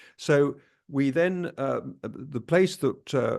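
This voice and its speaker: A man is speaking. The background is quiet. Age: 60s. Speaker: travel vlogger. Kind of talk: casual chat. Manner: halting.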